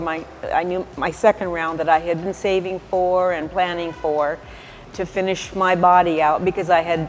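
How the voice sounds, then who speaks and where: Over background music, a woman speaks at a fairly low pitch in a flat, monotone way. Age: 60s. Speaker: plastic surgery patient. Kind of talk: testimony. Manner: halting.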